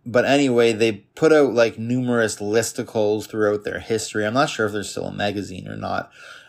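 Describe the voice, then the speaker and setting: A plain, everyday voice at a fairly quick pace, with fairly even intonation and hardly any pauses, in a very clean recording with a silent background. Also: man, medium pitch for a man. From Canada, Toronto suburbs. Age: 30s. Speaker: podcast host. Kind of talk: solo monologue podcast. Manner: casual.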